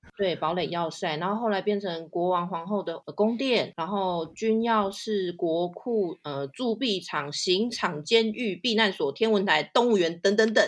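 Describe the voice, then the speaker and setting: Against a quiet background, a woman with a Taiwanese accent speaks at a fairly slow pace in a medium pitch, with ordinary pitch variation and hardly any pauses. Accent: Taiwanese Mandarin. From Taiwan, Taipei. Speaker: tour guide. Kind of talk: casual interview, storytelling.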